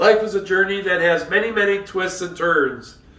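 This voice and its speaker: Audible room echo surrounds a man speaking at a moderate pace with a high pitch. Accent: American. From US Midwest, Detroit area, Michigan. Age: 60s. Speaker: pastor. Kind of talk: sermon. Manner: conversational, with frequent fillers.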